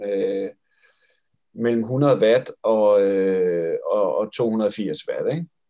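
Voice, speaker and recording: A man's medium-pitched voice moves through ordinary pitch variation. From West Jutland, Denmark (Esbjerg). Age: 40s. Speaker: physiotherapist and triathlon coach. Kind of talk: interview about his thesis. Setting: video call. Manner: halting with many fillers.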